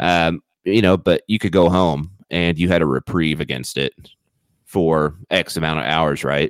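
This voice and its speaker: A man with a very deep, low pitch and vocal fry talks at a moderate pace with fairly even intonation, the sound dry and close with no echo. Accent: American. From Missouri, small town. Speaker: podcast co-host. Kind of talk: casual chat. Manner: halting, many repeated words.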